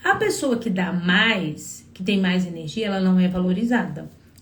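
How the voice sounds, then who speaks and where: A woman speaks with ordinary pitch variation, and an audible room echo can be heard. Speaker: psychologist giving relationship advice. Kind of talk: live stream talk to viewers. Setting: live stream.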